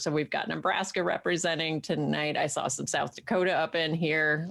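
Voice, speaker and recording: With vocal fry and a very deep, low pitch, a woman speaks in an American accent at a moderate pace on a very clean recording with a silent background. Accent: Central New York, coming back. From Central New York. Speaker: co-host reading viewer comments. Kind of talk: live-streamed casual chat show. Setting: live stream. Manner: animated.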